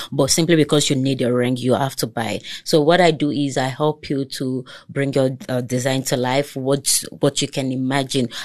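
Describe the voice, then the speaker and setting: With a Nigerian accent, a woman speaks in a very deep, low pitch at a moderate pace, with hardly any pauses. Her intonation stays fairly even. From Lagos, Nigeria. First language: Togolese language (mother's tongue). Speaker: entrepreneur. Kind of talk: casual chat.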